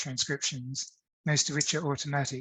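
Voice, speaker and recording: A somewhat breathy man speaks against a quiet background. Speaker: academic speaker on digital humanities; presenter. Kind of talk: conference talk with screen demo. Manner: hesitant, many fillers. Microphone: webcam.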